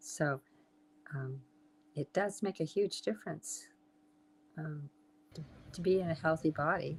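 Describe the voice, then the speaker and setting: A woman with an American accent and a very deep, low pitch speaks at a fairly slow pace in a somewhat breathy voice, with long, frequent pauses. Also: ordinary pitch variation. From Southern California. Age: 80s+. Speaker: health and wellness entrepreneur. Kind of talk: interview. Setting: live stream.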